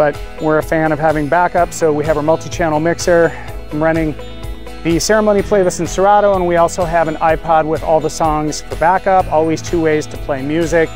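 Over clear background music, a man talks fairly quickly in a monotone, flat delivery, the sound dry with no echo. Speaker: wedding DJ. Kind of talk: walkthrough tour narration. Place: open country. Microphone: phone near.

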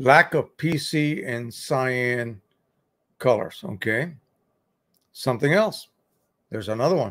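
Speaking very slowly over a quiet background, a man uses lively intonation. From Puerto Rico. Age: 70s. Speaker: YouTube photo printing expert; photo printing live streamer. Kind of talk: live stream tutorial and chat. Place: home room.

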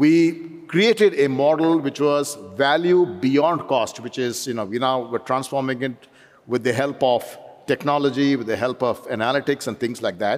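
A man speaks at a moderate pace. His pitch variation is ordinary. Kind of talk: interview answer. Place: stage. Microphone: headset.

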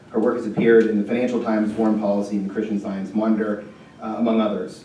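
Over light background noise and audible room echo, a man speaks with monotone, flat intonation. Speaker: speaker. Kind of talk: speaker introduction. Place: hall.

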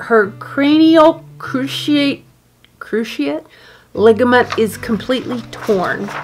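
A woman's very slow speech with faint music in the background. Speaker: dog owner vlogger. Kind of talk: casual vlog chat. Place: home room.

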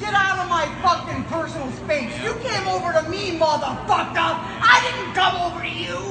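A woman at a moderate pace, amid loud background noise. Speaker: shopper. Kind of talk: heated argument with strangers. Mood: hostile, religious ranting. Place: shop. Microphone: phone near.

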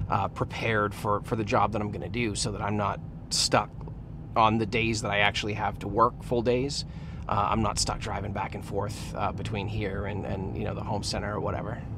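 Over noticeable background noise, a man talks at a fairly low pitch in a monotone, flat intonation, the sound dry with no echo. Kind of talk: casual vlog chat. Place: car. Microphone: phone near.

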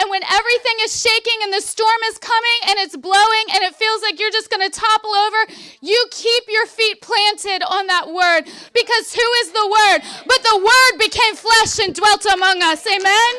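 A woman speaks in an extremely high, raised and projected voice with a bright, sharp tone. Her pace is moderate, and the background is quiet. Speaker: preacher delivering a sermon. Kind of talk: Baptist revival sermon; preaching to a congregation. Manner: conversational, animated, emphatic. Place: tent. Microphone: handheld.

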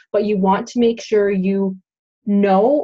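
A woman's somewhat breathy voice holds a fairly even intonation. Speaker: online tutor. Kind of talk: tutorial. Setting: screen share, home recording. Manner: informal, hesitant with fillers.

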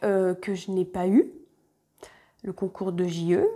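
Very slow in pace, a woman speaks with a dark, mellow tone. The background is quiet. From France, Côte-d'Or (Burgundy). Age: 30s. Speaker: sewing YouTuber. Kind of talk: casual vlog monologue. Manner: hesitant, many fillers. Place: home room. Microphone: lapel.

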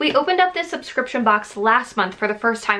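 A woman speaks very fast in a raised, projected voice with lively intonation. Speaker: YouTuber reviewing a subscription box. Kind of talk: casual vlog chat. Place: home room.

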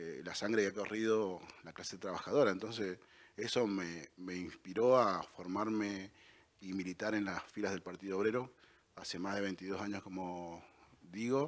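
An unremarkable speaking voice moves at a moderate pace with fairly even intonation. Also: man, fairly low pitch for a man. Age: 40s. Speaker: political candidate, construction worker; candidate. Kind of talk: campaign statement. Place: studio. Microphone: handheld.

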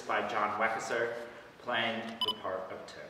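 A man talks in a monotone, flat intonation, with audible room echo and noticeable background noise. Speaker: actor performing audition monologue. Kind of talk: dramatic monologue.

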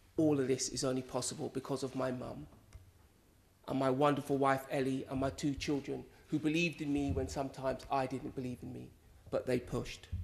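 A man with a London accent, fairly even intonation and a fairly quick pace. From West London, England. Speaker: politician, election candidate. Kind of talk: concession speech. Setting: stage in a hall with audience. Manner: formal. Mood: gracious, upbeat. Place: hall. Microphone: podium.

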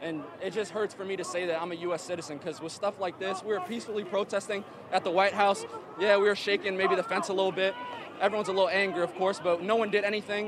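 A man with an American accent talks very fast in a high, monotone, flat voice. The sound is dry with no echo, and background noise is noticeable. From Virginia. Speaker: protester; interviewee. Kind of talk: street interview. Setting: outdoors at a street protest. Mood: upset, earnest. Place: street. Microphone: handheld.

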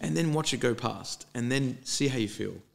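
A man talks with ordinary pitch variation. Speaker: English teacher and podcast host. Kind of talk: casual chat as an English lesson. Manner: animated.

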